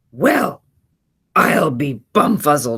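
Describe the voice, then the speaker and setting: In a put-on character voice, a woman growls with a raspy, gruff sound, pitched very deep and low while swinging very widely in pitch. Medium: read story. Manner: growling, grouchy.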